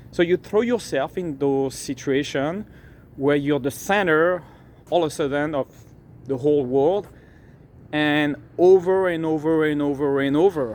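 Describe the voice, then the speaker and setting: Speech with a non-native accent and long, frequent pauses. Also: man, fairly high pitch for a man, ordinary pitch variation, fairly slow pace. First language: not English. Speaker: dating coach. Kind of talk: motivational talk. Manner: casual, repeats words.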